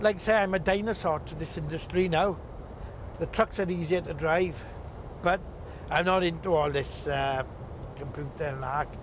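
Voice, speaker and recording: Pitched high for a man, this male voice moves at a moderate pace with ordinary pitch variation. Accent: Welsh. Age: 60s. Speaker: truck driver. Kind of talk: documentary interview.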